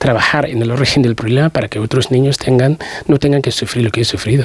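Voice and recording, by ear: Speaking fast, a man holds fairly even intonation at medium pitch with a slightly husky edge.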